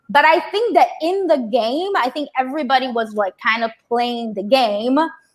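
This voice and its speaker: A woman's high-pitched voice with a strong Brazilian accent, lively intonation and a moderate pace. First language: Portuguese. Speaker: reality TV contestant. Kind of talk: casual chat. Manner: animated.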